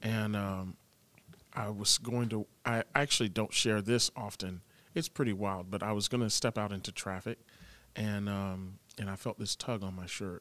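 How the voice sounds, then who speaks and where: A plain, everyday voice from a man, fairly low in pitch, at a moderate pace, in a very clean, dry, close recording with no echo and a silent background. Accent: American. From Florida, Tampa. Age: 20s. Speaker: worship pastor. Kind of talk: casual interview, personal testimony.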